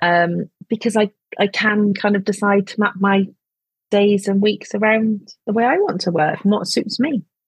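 With music in the background, a woman speaks at a moderate pace and a medium pitch, her loudness very even and her intonation fairly even, in a dry, close sound with no echo. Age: 40s. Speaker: business strategist and marketing mentor. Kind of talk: casual interview chat.

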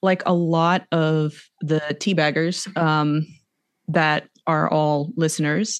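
A woman's very deep, low voice with a slight American accent, very slow pace, very even loudness and fairly even intonation, over a quiet background. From US, Arizona. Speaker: podcast guest. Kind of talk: casual chat.

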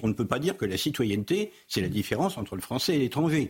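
Somewhat breathy, a man speaks at a very fast pace with very wide pitch swings. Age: 60s. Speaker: political scientist. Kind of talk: TV debate.

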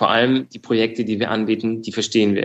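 A man speaks at a medium pitch. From Frankfurt, Germany. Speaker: startup founder in real estate. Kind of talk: interview. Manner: hesitant, many fillers.

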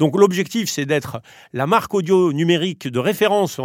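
A man with an unremarkable speaking voice talks at a moderate pace with lively intonation. The recording is very clean, with a silent background. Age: 40s. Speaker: media company co-founder and president. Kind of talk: interview.

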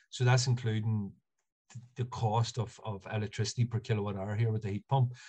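A man speaks with an Ulster accent in a dark, mellow tone. His delivery is monotone and flat, and somewhat breathy. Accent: Ulster Irish (Monaghan). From Ireland, north County Monaghan. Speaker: architectural technologist. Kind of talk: casual interview.

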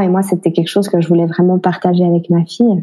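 Over music in the background, a woman talks in a fairly low pitch with a monotone, flat intonation. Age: 30s. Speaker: single mother. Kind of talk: interview testimony. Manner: halting, many repetitions.

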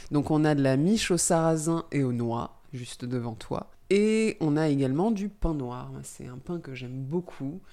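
A woman with a very deep, low pitch and a dark, mellow tone speaks at a fairly slow pace with lively intonation and big swings in loudness, on a very clean recording with a silent background. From Île-de-France, Brie area. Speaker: podcast host. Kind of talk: casual interview.

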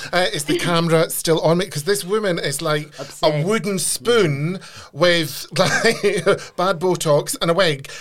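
There is noticeable background noise as a man talks at a fairly slow pace. His voice is high, with ordinary pitch variation. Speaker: podcast host. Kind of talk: casual interview.

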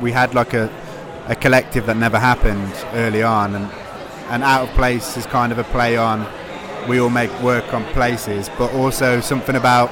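Noticeable background noise behind a man at medium pitch, fairly quick in pace, with fairly even intonation. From English Midlands, British Cypriot family. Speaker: independent publisher. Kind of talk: casual interview. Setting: live event at a book fair.

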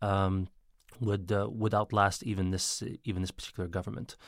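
This man has an unremarkable speaking voice, fairly low in pitch, at a fairly quick pace. The recording is very clean with a silent background. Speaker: magazine editor. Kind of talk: podcast interview.

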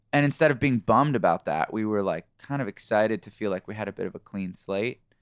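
Here is a man with an ordinary speaking voice, fairly low in pitch and with ordinary pitch variation. The recording is very clean with a silent background, and the sound is dry and close with no echo. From Canada. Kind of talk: interview. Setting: studio.

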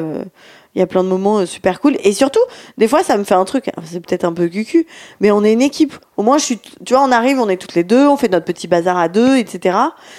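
Over a silent background in a very clean recording, a woman with a dark, mellow tone and medium pitch speaks at a moderate pace with lively intonation. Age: 30s. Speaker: podcast co-host. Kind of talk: casual chat.

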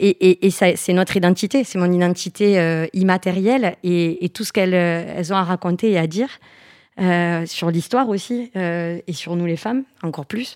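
Recorded very cleanly against a silent background, a woman with a normal speaking voice and fairly low pitch talks at a fairly slow pace with ordinary pitch variation. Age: 30s. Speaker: entrepreneur, founder of a knitwear brand. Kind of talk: interview.

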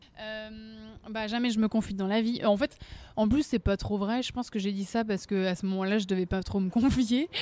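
Speaking at a moderate pace, a woman uses a fairly high pitch. Her intonation stays fairly even. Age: 20s. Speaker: singer. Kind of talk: interview. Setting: café. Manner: talkative.

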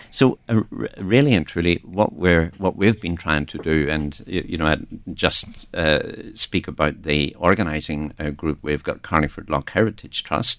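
This man has a very deep, low pitch and a Northern Irish accent. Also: ordinary pitch variation, moderate pace. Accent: Northern Irish, noticeable. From Northern Ireland. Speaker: festival organiser. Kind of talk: radio interview.

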